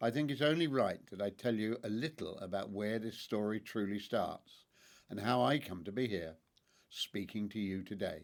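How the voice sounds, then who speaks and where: A man's fairly low voice in a southern English accent, at a moderate pace with lively intonation. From southern England, Hampshire. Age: 80s+. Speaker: podcast host, family history narrator. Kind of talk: storytelling narration. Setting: at home. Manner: calm, reflective.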